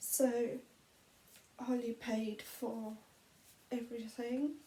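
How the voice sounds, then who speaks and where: Soft-spoken and very slow, a woman talks in a high pitch with a dark, mellow tone and monotone, flat intonation. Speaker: vlogger. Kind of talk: personal testimony. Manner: halting.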